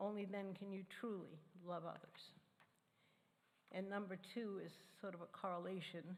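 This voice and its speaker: The delivery has a moderate pace and monotone, flat intonation. Long, frequent pauses break it up, and audible room echo surrounds it. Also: woman, medium pitch for a woman. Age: 80s+. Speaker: church member sharing personal testimony. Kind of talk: sermon.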